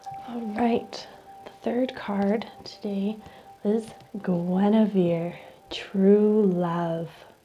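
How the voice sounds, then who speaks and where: Noticeable background noise sits behind a woman. Her pitch is medium and her intonation fairly even. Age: late 20s. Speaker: reiki practitioner and oracle card reader. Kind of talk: oracle card reading, calm spiritual ASMR-style talk.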